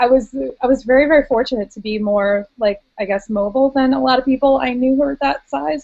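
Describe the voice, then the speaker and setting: A woman with an American accent speaks at a moderate pace with lively intonation in a plain, everyday voice. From United States. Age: 30s. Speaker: weight loss surgery patient. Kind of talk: casual chat.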